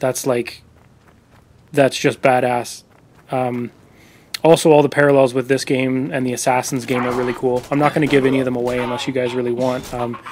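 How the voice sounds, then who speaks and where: This man speaks quietly at a medium pitch and a fairly quick pace, yet with long, frequent pauses. His intonation is monotone and flat. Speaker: video game reviewer. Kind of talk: voice-over game review. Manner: quiet, subdued.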